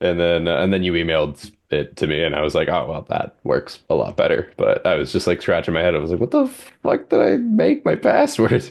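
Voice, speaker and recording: There are hardly any pauses as a man talks at a fairly quick pace. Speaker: podcast co-host. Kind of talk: casual chat. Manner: low energy. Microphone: good home mic.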